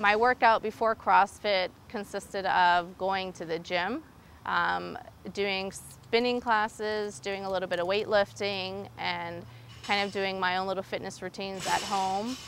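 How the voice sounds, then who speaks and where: Light background noise sits behind a woman's medium-pitched voice, the sound dry with no echo. She speaks at a fairly slow pace with fairly even intonation. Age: 30s. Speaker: nurse anesthetist and gym member. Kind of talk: interview answers. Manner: hesitant, many fillers. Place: gym. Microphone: lapel.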